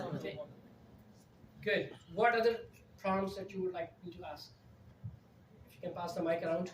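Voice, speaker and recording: The pace is moderate. Pauses come long and often. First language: not English. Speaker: conference speaker on AI in project management. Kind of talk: live presentation with audience Q&A.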